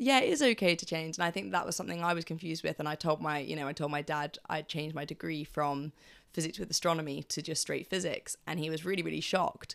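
With vocal fry and a very deep, low pitch, a woman talks at a very fast pace with hardly any pauses and ordinary pitch variation. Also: very clean recording, silent background. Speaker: student podcast host. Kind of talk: casual interview chat.

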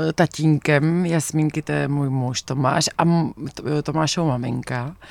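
A woman speaks at a fairly slow pace in a very deep, low voice with ordinary pitch variation. The recording is very clean, with a silent background. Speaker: actress, documentary director and writer. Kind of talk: radio interview. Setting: radio studio.

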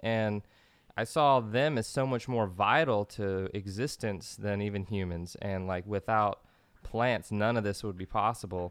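A man speaks in an unremarkable speaking voice at a fairly low pitch. He keeps a fairly slow pace. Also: ordinary pitch variation. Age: 30s. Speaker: musician and DJ. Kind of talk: casual chat.

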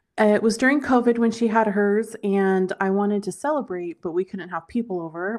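This recording is very clean, with a silent background. A plain, everyday voice talks at a moderate speed, its pitch varying in an ordinary way. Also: woman. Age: 40s. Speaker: author and body positivity advocate. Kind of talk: casual interview.

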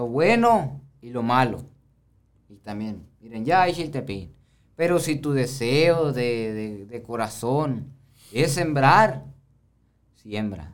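With audible room echo, a man speaks very slowly with long, frequent pauses, lively intonation and big swings in loudness. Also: medium pitch for a man. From Baviácora, Sonora, Mexico. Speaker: rancher and chiltepin grower. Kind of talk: casual conversation.

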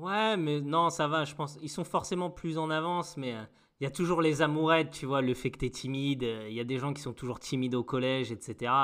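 With a plain, everyday voice, a fairly high-pitched man talks at a fairly quick pace with ordinary pitch variation. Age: 30s. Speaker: podcast co-host. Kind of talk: casual chat.

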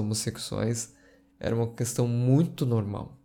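In a very clean recording with a silent background, a man with a dark, mellow tone speaks at medium pitch, fairly slowly and in a monotone, flat way. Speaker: history podcaster and streamer. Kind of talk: casual livestream chat. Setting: live stream recording.

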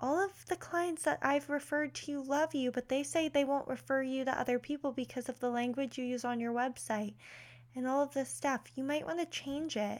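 A woman's high pitch with ordinary pitch variation, a moderate pace, and an American accent. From Pennsylvania, Philadelphia area. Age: 20s. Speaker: podcast host, career coach. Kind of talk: casual monologue. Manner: animated.

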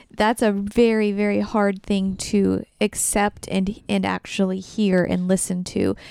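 Over a very clean recording with a silent background, a woman's medium-pitched voice sounds dark and mellow, with monotone, flat intonation. She goes at a fairly slow pace with hardly any pauses and very even loudness. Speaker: podcast co-host, host's wife. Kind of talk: casual chat. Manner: quiet; soft-spoken.

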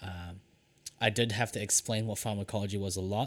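A man talks at a fairly quick pace in a fairly low, flat monotone. The recording is very clean, with a silent background. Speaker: podcast co-host, lab technician. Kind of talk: casual chat.

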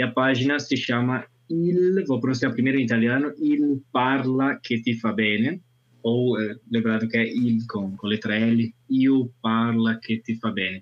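This is a normal speaking voice, delivered at a fairly slow pace with ordinary pitch variation. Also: man, medium pitch for a man. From northern Italy, Alps. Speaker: language teacher and conference interpreter. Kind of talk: casual chat.

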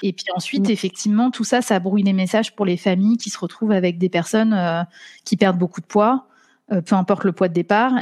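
A woman with an unremarkable speaking voice talks fairly quickly at medium pitch with fairly even intonation. The recording is very clean with a silent background and a dry, close sound with no echo. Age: 30s. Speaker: doctoral student in law. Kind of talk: interview.

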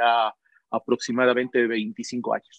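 This voice sits at a medium pitch. It belongs to a man. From Ecuador, Loja. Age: 40s. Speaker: business executive. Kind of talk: interview. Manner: hesitant, many fillers.

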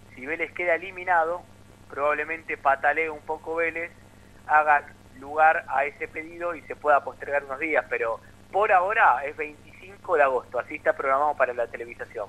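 A man with an ordinary speaking voice talks at a moderate pace and a fairly high pitch, with ordinary pitch variation. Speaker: sports journalist. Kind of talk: sports radio discussion.

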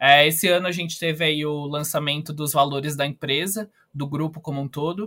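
With an ordinary speaking voice, a man talks at a fairly high pitch and keeps his intonation fairly even. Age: 20s. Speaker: company trainee. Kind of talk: podcast interview.

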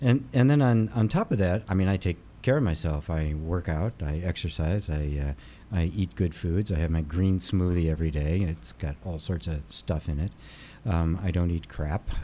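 Here a man with a very deep, low pitch and a dark, mellow tone talks at a moderate pace with ordinary pitch variation. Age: 60s. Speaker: spiritual teacher and energy healer. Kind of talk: casual interview chat. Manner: animated, energetic.

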